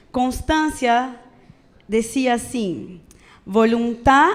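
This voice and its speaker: With a Brazilian accent, a woman talks at a high pitch with ordinary pitch variation. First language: Portuguese (speaking Spanish). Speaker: preacher. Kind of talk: sermon. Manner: casual, conversational with frequent fillers.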